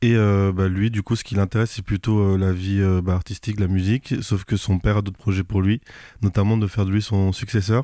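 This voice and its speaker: This man speaks at a fairly quick pace in a dark, mellow tone and a fairly low pitch, with flat, monotone intonation. The sound is dry and close, with no echo. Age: 20s. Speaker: manga author and flight attendant. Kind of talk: casual interview. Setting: manga bookshop.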